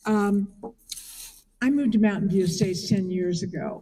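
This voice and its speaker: This woman has a dark, mellow tone. Her voice is somewhat breathy. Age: 80s+. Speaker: memorial speaker, friend of the deceased. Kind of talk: eulogy. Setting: memorial service.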